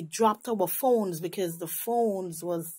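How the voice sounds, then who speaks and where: A woman speaks with a Caribbean accent in a dark, mellow tone. Her pace is fairly slow, and the recording is very clean with a silent background. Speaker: religious visionary sharing a vision. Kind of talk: testimony. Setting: night.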